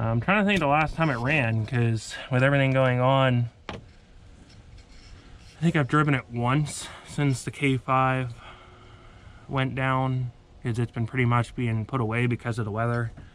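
A man talks at a fairly slow pace. The sound is dry with no echo, with light background noise. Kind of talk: casual vlog chat. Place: street. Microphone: phone near.

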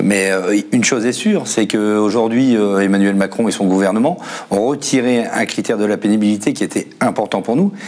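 A man with a fairly low pitch keeps his loudness very even and his intonation fairly even. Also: moderate pace. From northern France. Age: 40s. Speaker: assembly line worker and union secretary; car factory worker guest. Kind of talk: panel discussion. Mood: aggrieved, indignant. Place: studio. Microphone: lapel.

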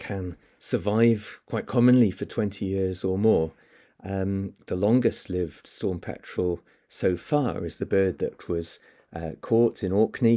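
This man has a dark, mellow tone and ordinary pitch variation. He speaks at a very slow pace against a quiet background. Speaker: presenter. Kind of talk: lecture. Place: home room. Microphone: webcam.

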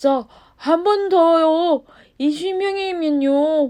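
In a put-on character voice pitched extremely high, the words come out at a very slow pace. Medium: read story. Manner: humble, imploring.

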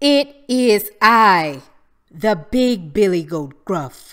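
A woman's loud, booming, put-on character voice at a medium pitch, delivered at a very slow pace.

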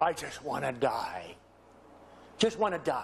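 With a raspy, put-on character voice, a man speaks fairly slowly at a fairly high pitch.

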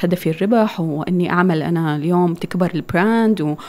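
Intonation rises and falls with energy. A dark, mellow tone carries it at an even, middling speed. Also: woman. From northern Syria (Deir ez-Zor and Raqqa); northern Syria. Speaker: architect and clothing business owner; guest. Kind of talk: interview. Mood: warm, smiling. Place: studio. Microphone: studio mic.

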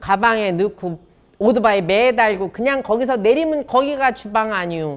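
With a Chungcheong accent, a woman speaks at a moderate pace. Her fairly high pitch makes very wide swings. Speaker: professor and chef. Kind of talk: talk to an audience. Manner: lively, humorous.

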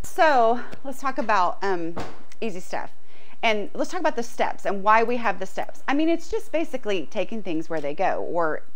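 Her pitch swings very widely. The woman speaks at a moderate pace. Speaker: decluttering coach. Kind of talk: tutorial. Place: garage. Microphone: lapel.

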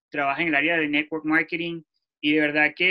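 A man talks at a fast pace. His pitch is fairly high.

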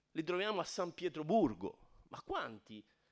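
A man talks at a moderate pace. Behind him, all is quiet. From Tuscany, Garfagnana (Lucca); Tuscany. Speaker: architect and emigration archive director; guest lecturer. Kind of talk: lecture. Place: hall.

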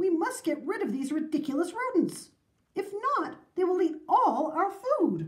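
An extremely high-pitched put-on character voice from a woman, with big pitch swings and a fairly slow pace

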